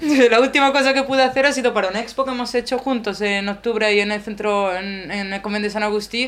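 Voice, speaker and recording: Barely pausing at all, a woman rattles along at a very fast pace in a fairly high pitch. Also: ordinary pitch variation. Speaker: sculptor sharing personal doubts in a group. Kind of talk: personal sharing in group discussion. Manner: halting, many fillers and repetitions.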